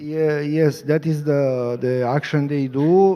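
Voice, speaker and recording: A man speaks with a Romanian accent. His pitch is fairly high, with ordinary variation. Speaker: activist lawyer. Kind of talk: panel discussion. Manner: halting.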